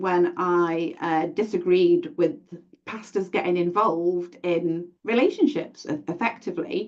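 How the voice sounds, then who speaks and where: A woman speaks at a fairly slow pace with a British accent. Her pitch sits in the middle range, and her intonation is lively. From UK. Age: 40s. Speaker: event host and domestic abuse advocate. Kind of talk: panel discussion. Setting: live stream. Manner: halting.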